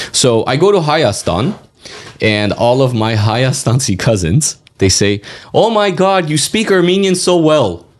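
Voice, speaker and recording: With a Californian accent, a man speaks fairly slowly at a fairly high pitch, his pitch swinging very widely while his loudness stays very even. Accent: Californian American English. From Los Angeles, Hollywood. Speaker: community advocate and county commissioner. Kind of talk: podcast interview. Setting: studio.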